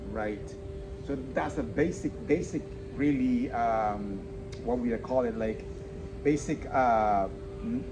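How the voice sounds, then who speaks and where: A man with a Spanish accent speaks very slowly at medium pitch, with ordinary pitch variation and long, frequent pauses. Music plays in the background, and the room echo is audible. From El Salvador. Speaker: podcast host. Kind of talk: casual interview chat. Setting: outdoors on the street. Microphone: no mic.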